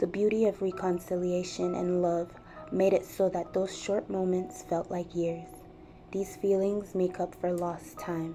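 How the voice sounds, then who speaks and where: Music plays in the background as a woman with an American accent talks fairly slowly at a medium pitch, her intonation monotone and flat. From Nigeria. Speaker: digital storyteller. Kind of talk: scripted narration.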